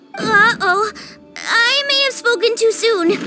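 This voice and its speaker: Loud music plays behind a woman doing a cartoonish character voice. Her pitch is extremely high and her pace fairly slow. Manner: bubbly, upbeat.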